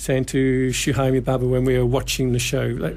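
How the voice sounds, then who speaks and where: A man talks over noticeable background noise. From UK. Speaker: TV producer. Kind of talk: radio interview.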